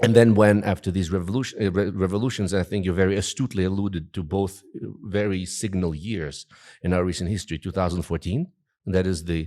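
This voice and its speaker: Very fast and with a Russian accent, a man talks in a very deep, low pitch and a dark, mellow tone on a very clean recording with a silent background. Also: fairly even intonation. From Russian-speaking part of Ukraine. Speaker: journalist and political commentator. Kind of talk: interview. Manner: hesitant with many fillers.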